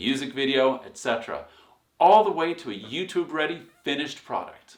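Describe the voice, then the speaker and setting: With an enthusiastic tone and very wide pitch swings, a man speaks at a moderate pace amid audible room echo. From Sweden. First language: Swedish. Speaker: songwriting teacher and music producer. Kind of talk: online course lecture.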